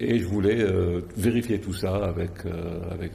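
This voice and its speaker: Room echo can be heard around this speaker. He is a man with a very deep, low voice. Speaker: insurance company executive. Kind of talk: TV interview. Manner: halting, many hesitations.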